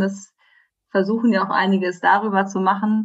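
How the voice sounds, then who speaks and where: A woman talks at a fairly quick pace with medium pitch. The background is quiet. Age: 30s. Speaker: journalist. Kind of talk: interview. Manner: hesitant, many filler sounds.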